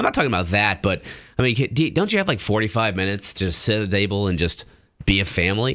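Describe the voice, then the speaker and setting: Very fast and very even in loudness, a man speaks in a fairly low pitch with ordinary pitch variation. Noticeable background noise runs underneath. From Italian-American background. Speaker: radio co-host. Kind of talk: casual radio chat. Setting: radio studio. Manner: hesitant, frequent repetitions.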